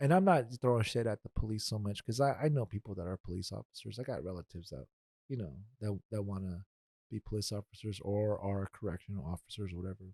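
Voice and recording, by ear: Speaking fast, a man with a dark, mellow tone and fairly low pitch uses ordinary pitch variation, recorded with a dry, close sound and no echo.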